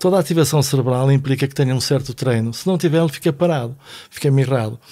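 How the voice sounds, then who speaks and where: Speaking at a fairly quick pace, a man with a medium pitch has a dark, mellow tone and ordinary pitch variation. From Portugal, Vila Nova de Foz Côa. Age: 60s. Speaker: philosophy teacher and author. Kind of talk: casual chat.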